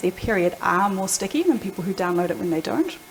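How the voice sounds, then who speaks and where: Over noticeable background noise, a woman with a New Zealand accent talks very fast at a medium pitch. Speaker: product executive. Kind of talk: panel discussion.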